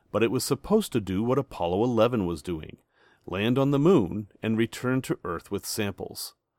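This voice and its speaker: This man uses an ordinary speaking voice at medium pitch. He moves at a moderate pace with lively intonation. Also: very clean recording, silent background. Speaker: podcast host. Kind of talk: history documentary narration. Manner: measured, clear, authoritative storyteller pace.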